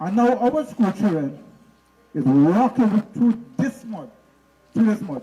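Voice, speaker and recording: A man talks very slowly in a high pitch, with very wide pitch swings and long, frequent pauses. Noticeable background noise is present. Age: 60s. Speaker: village resident. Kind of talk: public address.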